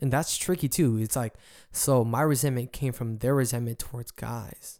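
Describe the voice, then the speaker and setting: Very clean recording, silent background: a man with a medium pitch and a dark, mellow tone. He speaks at a fairly quick pace with fairly even intonation. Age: young. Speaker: solo podcaster. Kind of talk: casual monologue. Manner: halting.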